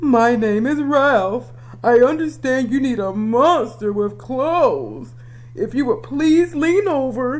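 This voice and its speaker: A put-on character voice sits at a fairly high pitch. It moves along at a fairly slow pace. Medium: read story. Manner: polite, formal.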